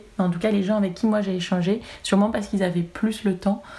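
A woman's medium-pitched, somewhat breathy voice, dark and mellow in tone, monotone and flat, at a fairly quick pace. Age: 20s. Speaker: cannabis cosmetics brand representative. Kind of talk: interview.

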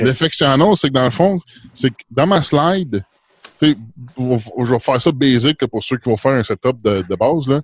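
The sound is dry and close with no echo as a man of medium pitch speaks at a fairly slow pace with lively intonation. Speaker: podcaster. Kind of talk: casual chat.

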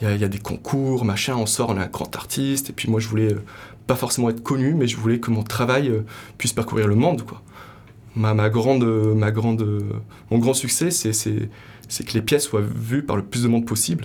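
Medium in pitch, a man talks at a moderate pace. His intonation stays fairly even. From Morocco. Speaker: sculptor and artist. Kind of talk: interview. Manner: hesitant, many fillers.

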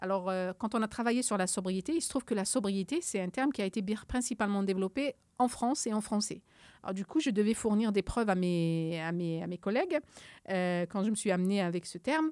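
A woman with an unremarkable speaking voice talks at a fairly quick pace in a medium pitch, her intonation lively and the sound dry and close with no echo. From Algeria, Algiers. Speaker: climate scientist. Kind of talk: interview.

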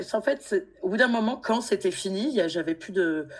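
Using a normal speaking voice, a woman talks fairly slowly with lively intonation. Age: 40s. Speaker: guest sharing personal grief story. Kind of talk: testimony.

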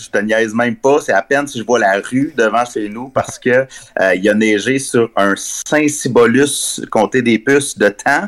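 A man talks at medium pitch and a moderate pace in an ordinary speaking voice, with ordinary pitch variation. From Quebec, Abitibi (Rouyn-Noranda). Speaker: journalist and author. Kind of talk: interview. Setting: remote call.

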